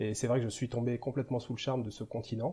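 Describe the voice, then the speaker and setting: This man's voice has a dark, mellow tone and is somewhat breathy. He talks at a very fast pace. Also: quiet background. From western France, Angers (Maine-et-Loire). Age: 40s. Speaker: travel vlogger. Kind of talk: interview.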